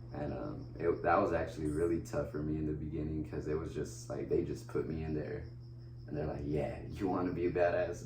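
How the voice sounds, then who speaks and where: A man with a very deep, low voice speaks at a fairly quick pace with ordinary pitch variation. Audible room echo and noticeable background noise surround him. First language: Spanish. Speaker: wheelchair basketball player. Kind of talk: casual interview. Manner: casual, halting with fillers.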